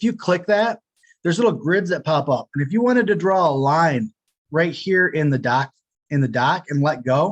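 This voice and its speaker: Moving at a fairly quick pace, a man uses a high pitch and lively intonation in a dry, close sound with no echo. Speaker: product demo presenter. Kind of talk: webinar software demo. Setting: home office, webinar. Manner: fast.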